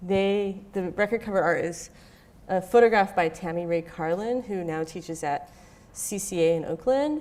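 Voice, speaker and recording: A woman speaks with an American accent at a moderate pace. Her pitch is medium, with ordinary variation. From Southern California, Orange County. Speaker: visual artist. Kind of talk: lecture. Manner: casual, many fillers (um, like).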